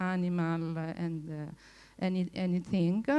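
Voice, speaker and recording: Speaking fairly slowly, a woman with an Italian accent has a fairly low pitch. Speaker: former researcher, conference speaker. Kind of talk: conference talk. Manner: halting, many fillers.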